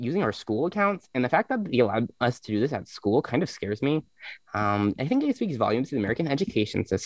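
The speech is plain reading aloud. Nothing else is marked.

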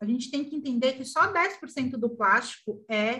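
This woman's voice is high-pitched. It has a bright, sharp tone. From Brazil, São Paulo. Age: 40s. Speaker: fashion designer and small business owner. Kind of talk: interview.

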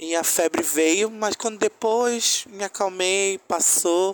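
With fairly even intonation, a man talks in a dry, close sound with no echo. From Manaus, Amazonas, Brazil. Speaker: listener sending testimony. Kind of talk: recorded testimony.

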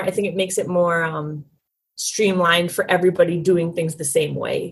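A woman talks with a somewhat breathy voice. Her American accent comes at a moderate pace. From St. Paul, Minnesota. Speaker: roller derby skater and census worker. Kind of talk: casual interview.

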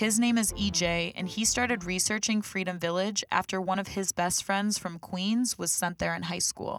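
With an ordinary speaking voice, a woman speaks at medium pitch and a moderate pace, with fairly even intonation and hardly any pauses. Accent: American. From Rochester, New York. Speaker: podcast host and creator. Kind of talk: scripted narration with interviews.

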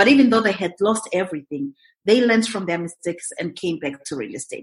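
The speaker is somewhat breathy, moves at a fairly quick pace and makes very wide pitch swings. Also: woman. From Zimbabwe. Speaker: real estate investor and mentor. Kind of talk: interview, conversational.

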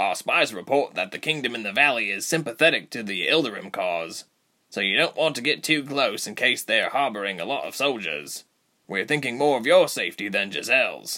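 Using a put-on character voice, a man with a medium pitch talks at a fairly quick pace on a very clean recording with a silent background. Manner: practical, warm, reassuring.

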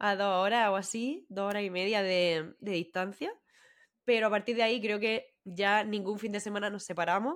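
Recorded very cleanly against a silent background, a woman speaks with a Murcian accent. Her medium-pitched voice keeps a moderate pace and fairly even intonation. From Spain, Murcia. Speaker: podcast co-host. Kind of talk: casual chat.

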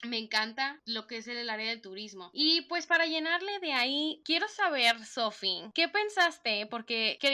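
A woman speaks with a northern Mexican accent. Her intonation is lively. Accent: northern Mexican (Monterrey) Spanish. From Mexico, Monterrey. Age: 20s. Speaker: podcast co-host. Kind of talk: casual chat. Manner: blunt, to the point.

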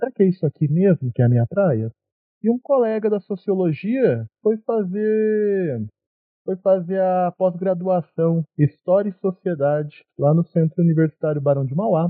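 At a fairly slow pace, a man talks at a high pitch with lively intonation. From São Paulo interior, Brazil. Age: 20s. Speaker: podcast host, history graduate. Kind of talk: casual discussion.

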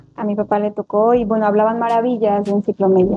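A woman speaks with a dark, mellow tone and ordinary pitch variation. The sound is dry and close, with no echo. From Mexico, Atlixco, Puebla. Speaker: primary school teacher. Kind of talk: interview conversation.

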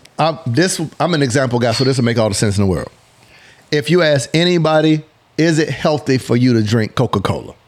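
Lively in intonation and very even in loudness, a man talks at a fairly quick pace over noticeable background noise. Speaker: business consultant. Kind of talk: casual chat.

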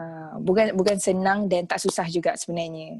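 On a very clean recording with a silent background, a normal speaking voice talks at a moderate pace with ordinary pitch variation. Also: woman. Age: 20s. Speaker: takaful consultant. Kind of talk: casual interview chat.

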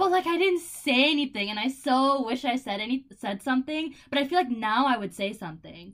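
High-pitched and lively in intonation, a woman with an American accent talks at a fairly quick pace with hardly any pauses over noticeable background noise. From Buffalo, New York. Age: 20s. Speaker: podcast co-host, college student. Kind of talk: casual chat.

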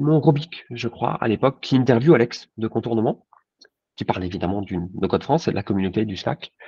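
Dark and mellow in tone, a man's medium-pitched voice is somewhat breathy with lively intonation. He moves at a fairly quick pace, and the sound is dry and close with no echo. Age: 40s. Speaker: insurance agent. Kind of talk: casual interview.

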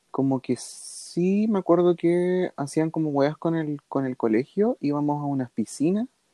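A fairly slow pace with hardly any pauses. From southern Chile, Osorno. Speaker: podcast co-host. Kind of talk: casual chat.

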